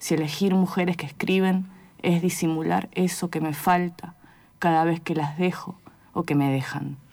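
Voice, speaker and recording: A woman speaks at a moderate pace in a normal speaking voice, her pitch fairly low and her intonation fairly even. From outside Argentina. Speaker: poet. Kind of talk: poetry reading; interview.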